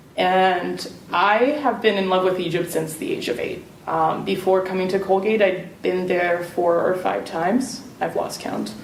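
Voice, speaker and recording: Over noticeable background noise and audible room echo, a woman talks fairly slowly at medium pitch with ordinary pitch variation. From Serbia. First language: Serbian. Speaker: alumni panelist. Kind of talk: panel talk.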